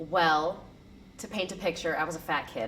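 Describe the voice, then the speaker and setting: Here a woman talks with an American accent at a moderate pace. Her pitch moves with ordinary variation. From US, small town. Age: 20s. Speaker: student. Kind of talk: interview. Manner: casual, with many fillers and repeats.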